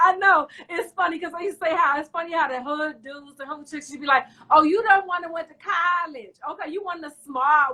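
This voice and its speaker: A raised, projected voice with a D.C. accent and a bright, sharp tone runs with hardly any pauses, ordinary pitch variation and big swings in loudness. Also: woman, extremely high pitch for a woman, fairly quick pace. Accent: D.C. accent, still there. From Washington, D.C. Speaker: talk show host. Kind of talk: casual interview chat.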